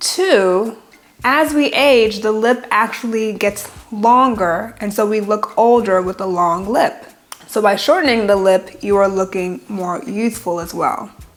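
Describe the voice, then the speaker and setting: Amid noticeable background noise, a woman with a fairly high pitch speaks at a fairly slow pace in an animated tone with lively intonation. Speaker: plastic surgeon. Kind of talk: educational vlog. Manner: animated, casual.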